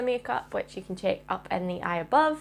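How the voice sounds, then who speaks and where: This woman speaks with a Scottish accent. Her pitch is medium and her pace moderate. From Scotland. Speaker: makeup artist YouTuber. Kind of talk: makeup tutorial. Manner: casual, chatty.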